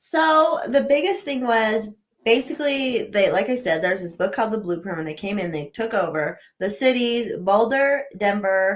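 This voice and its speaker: With a Western US accent, a woman of fairly high pitch speaks at a moderate pace using very wide pitch swings. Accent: General American (Western US). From Colorado. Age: 30s. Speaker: city council candidate, real estate agent. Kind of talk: casual interview chat.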